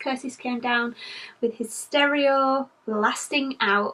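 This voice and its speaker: Speaking in a British accent, a woman uses a high pitch with ordinary pitch variation. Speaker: vlogger. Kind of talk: vlog update. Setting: indoors at home, nursery.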